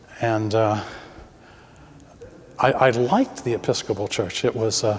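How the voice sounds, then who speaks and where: Noticeable background noise around a man of medium pitch speaking at a fairly slow pace. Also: fairly even intonation. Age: 70s. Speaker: parishioner. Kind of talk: casual chat. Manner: halting.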